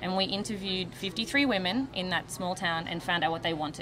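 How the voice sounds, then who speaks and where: The speaker, with an Australian accent, moves at a fairly quick pace with hardly any pauses. Noticeable background noise is present. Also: woman. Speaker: charity volunteer, hairdresser. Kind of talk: TV interview. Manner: hesitant, many fillers.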